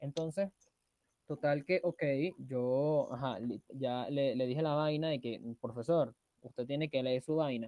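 A man with a Venezuelan accent talks at a fairly slow pace, his fairly high pitch showing ordinary variation. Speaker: podcast co-host. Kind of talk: casual chat.

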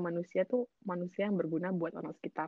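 A woman speaks at a medium pitch. Her pace is very fast. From Indonesia. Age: 20s. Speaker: student living abroad. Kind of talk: casual chat. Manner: animated. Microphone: too quiet.

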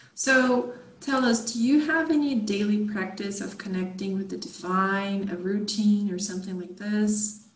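A woman with a Portuguese accent speaks at a medium pitch and moderate pace, with ordinary pitch variation and hardly any pauses. Audible room echo and noticeable background noise are present. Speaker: podcast host. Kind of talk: interview.

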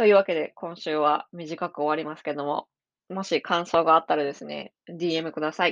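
A woman with a normal speaking voice talks at a moderate pace and fairly low pitch, her intonation fairly even, the sound dry and close with no echo over a quiet background. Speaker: podcast host and psychic reader. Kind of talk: solo podcast monologue. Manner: casual, with many fillers.

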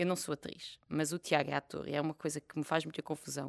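In a very clean recording with a silent background and a dry, close sound with no echo, a woman speaks at a fairly quick pace in an animated tone with vocal fry. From Portugal, village near Fátima. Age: 30s. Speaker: comedian and cancer survivor. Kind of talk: casual chat.

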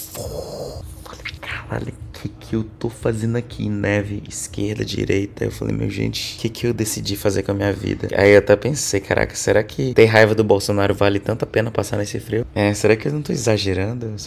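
Noticeable background noise sits behind a man speaking at a moderate pace. He hardly pauses at all. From Brazil, Roraima (Boa Vista), later Manaus. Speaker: tech worker, digital nomad. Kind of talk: casual interview. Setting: remote call from a hostel.

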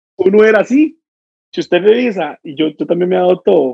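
With lively intonation, a man speaks in a Costa Rican accent. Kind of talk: casual chat.

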